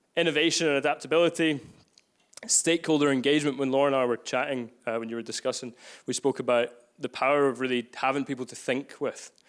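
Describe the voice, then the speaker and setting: With a Glaswegian accent, a man talks at a very fast pace and a fairly high pitch on a very clean recording with a silent background. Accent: Glaswegian Scottish. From Scotland, Glasgow. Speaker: workshop facilitator. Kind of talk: live workshop. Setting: room with live audience. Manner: energetic.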